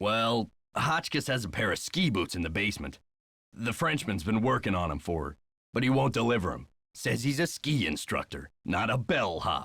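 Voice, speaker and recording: In a gruff, put-on character voice, a man swings very widely around a medium pitch at a moderate pace, on a very clean recording with a silent background. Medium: video game. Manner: gruff, folksy.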